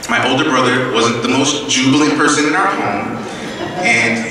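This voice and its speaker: A man talks at a fairly quick pace. There is strong room echo and light background noise. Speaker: speaker. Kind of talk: prepared speech. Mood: earnest, reflective. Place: hall. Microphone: podium.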